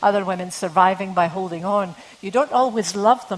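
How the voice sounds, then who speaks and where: A woman speaks with a Scottish accent at a medium pitch. Her pace is moderate and her intonation fairly even. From Scotland. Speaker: novelist. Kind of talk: literary talk with readings. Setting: stage with audience.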